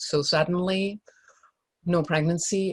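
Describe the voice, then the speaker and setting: The speaker sounds somewhat breathy with fairly even intonation, in a dry, close sound with no echo. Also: woman. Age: 60s. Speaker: joy coach, energy healer. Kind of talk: talk at a live event, teaching and personal story.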